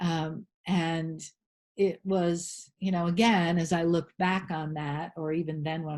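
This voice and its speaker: Over a quiet background, a woman talks at a fairly slow pace. She has an ordinary speaking voice with a fairly low pitch. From rural New England, USA. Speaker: holistic health practitioner and spiritual teacher. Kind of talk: interview answer.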